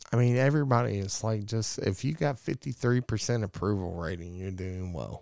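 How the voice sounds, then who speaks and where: In a very clean recording with a silent background, a man with a plain, everyday voice talks at a fairly quick pace, fairly low in pitch, with lively intonation. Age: 40s. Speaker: podcast host. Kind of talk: casual chat.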